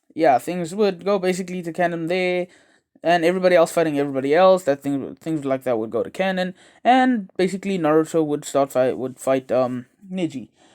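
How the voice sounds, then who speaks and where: On a very clean recording with a silent background, a man with a high pitch speaks fairly quickly with ordinary pitch variation. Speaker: anime YouTuber. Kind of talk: casual fan-fiction storytelling monologue. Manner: fast; halting, many fillers.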